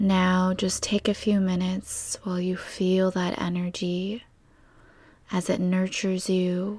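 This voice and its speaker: A woman's somewhat breathy, soothing, calm tone at medium pitch, monotone and flat in intonation, at a fairly slow pace in a very clean recording with a silent background. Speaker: meditation guide and energy healer. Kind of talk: guided meditation. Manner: slow, soothing, calm and gentle with long pauses; soft-spoken, reassuring and warm.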